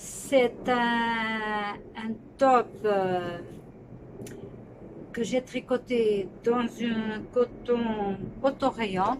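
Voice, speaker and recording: With noticeable noise behind her, a woman speaks very slowly in a fairly high voice, her intonation fairly even and her pauses long and frequent. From Portugal. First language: Portuguese (speaking French). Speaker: knitting podcaster. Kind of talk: casual podcast chat. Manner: halting, with hesitations.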